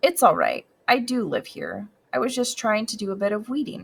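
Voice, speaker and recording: A female-sounding voice does a put-on character voice, high in pitch and raspy yet gentle in tone. The pace is moderate. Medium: read story. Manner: gentle, easygoing.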